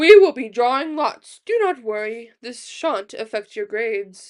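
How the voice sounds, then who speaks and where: A put-on character voice at a moderate pace. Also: woman, high pitch for a woman, big swings in loudness. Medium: read story. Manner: loud, announcing.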